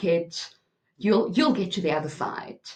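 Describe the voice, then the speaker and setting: This woman's voice has a medium pitch and is somewhat breathy. Her intonation rises and falls in a lively way. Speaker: spiritual YouTuber. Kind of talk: monologue to camera. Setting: home recording room.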